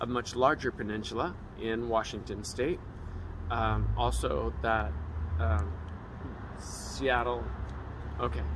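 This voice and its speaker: A man talks at a very slow pace in a very deep, low pitch with vocal fry. His pitch swings very widely, he takes long, frequent pauses, and noticeable background noise is present. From San Francisco Bay Area and Pacific Northwest. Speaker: passerby. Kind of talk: casual chat. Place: street. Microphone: phone near.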